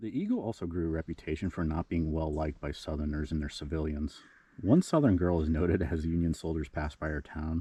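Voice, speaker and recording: Over a quiet background, a man speaks very fast in a very deep, low voice that is somewhat breathy, dark and mellow, with fairly even intonation. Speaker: cemetery explorer vlogger. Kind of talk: history storytelling. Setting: outdoors at a cemetery. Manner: quiet, low voice; casual with fillers.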